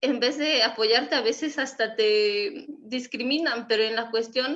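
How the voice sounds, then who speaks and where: Speaking at a fairly slow pace with a western Mexican accent, a woman uses a high pitch and fairly even intonation. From Mexico, Wixárika community. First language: Wixárika (speaking Spanish). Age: young. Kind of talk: panel discussion.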